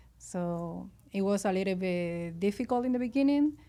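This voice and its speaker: A woman talks in a dark, mellow tone with a Venezuelan accent. Her pace is fairly slow. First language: Spanish. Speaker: restaurant owner. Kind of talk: interview. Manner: halting.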